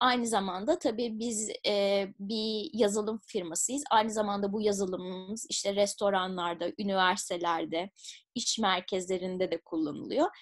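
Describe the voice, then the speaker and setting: A woman at a moderate pace with hardly any pauses, dry sound with no echo, and a quiet background. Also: ordinary pitch variation. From Turkey, Izmir; Turkey. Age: 30s. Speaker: public policy researcher and entrepreneur; interviewee. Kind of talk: interview. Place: home room. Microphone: webcam.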